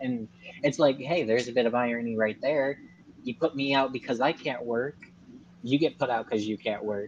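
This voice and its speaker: A man with a normal speaking voice and medium pitch talks at a moderate pace with fairly even intonation. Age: 20s. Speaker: guest on live stream talking about his health. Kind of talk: casual chat.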